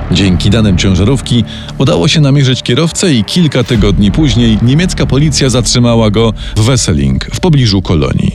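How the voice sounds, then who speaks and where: Fairly quick speech from a man at medium pitch, with very wide pitch swings and noticeable background noise. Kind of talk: true-crime narration. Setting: studio. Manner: grave, measured storytelling, dramatic and suspenseful.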